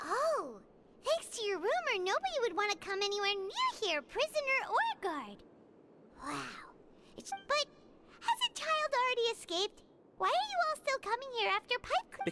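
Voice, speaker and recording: A put-on character voice at an extremely high pitch comes with long, frequent pauses over loud background noise. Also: moderate pace. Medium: video game. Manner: curious, questioning.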